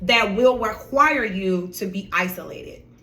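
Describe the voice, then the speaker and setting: In a room with audible echo, a woman speaks at a moderate pace with medium pitch and ordinary pitch variation. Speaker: lifestyle and inspirational vlogger. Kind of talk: motivational talk. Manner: animated.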